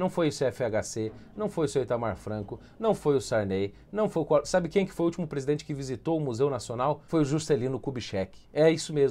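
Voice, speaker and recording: With hardly any pauses, the dark, mellow voice moves at a fairly quick pace. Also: man, fairly high pitch for a man, lively intonation. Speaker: political commentator. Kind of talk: opinion commentary. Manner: animated. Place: home room. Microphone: lapel.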